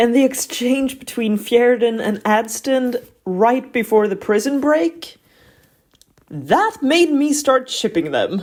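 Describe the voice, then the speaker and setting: Here a woman speaks with a high pitch at a very slow pace. Her intonation is lively. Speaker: book reviewer. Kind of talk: book review, scripted voiceover.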